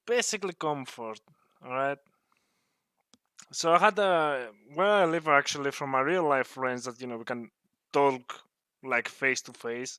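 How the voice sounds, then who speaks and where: On a very clean recording with a silent background, a man with a non-native accent speaks at a moderate pace in a bright, sharp, fairly high voice, with big swings in loudness and long, frequent pauses. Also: lively intonation. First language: not English. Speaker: gaming YouTuber. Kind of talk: personal vlog rant. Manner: halting, hesitant with fillers.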